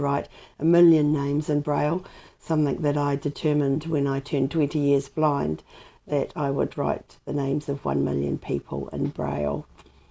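In a New Zealand accent, a woman with a very deep, low pitch and a dark, mellow tone talks at a moderate pace with monotone, flat intonation, on a very clean recording with a silent background. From New Zealand, Dunedin. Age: 50s. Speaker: blind advocate and motivational speaker. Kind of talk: interview. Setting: at home.

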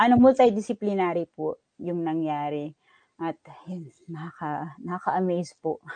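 A woman with a fairly low pitch and a dark, mellow tone talks at a moderate pace with lively intonation and big swings in loudness. The sound is dry and close, with no echo. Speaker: data manager at a research agency. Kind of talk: interview.

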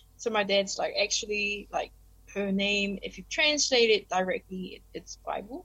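With a New Zealand accent, a woman talks at a fairly slow pace. Her tone is bright and sharp. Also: medium pitch for a woman, ordinary pitch variation. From New Zealand (Christchurch), Korean family. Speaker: PhD student and former language teacher. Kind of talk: casual interview chat.

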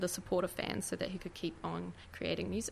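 With a New Zealand accent, a woman speaks at a moderate pace and medium pitch, her voice carrying vocal fry. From New Zealand, grew up in Oamaru. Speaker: museum and gallery worker, K-pop fan. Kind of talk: radio interview.

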